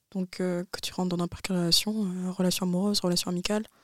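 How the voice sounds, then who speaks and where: A woman's medium-pitched voice, monotone and flat in intonation, at a fairly quick pace. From France. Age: 20s. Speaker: university student. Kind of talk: casual chat.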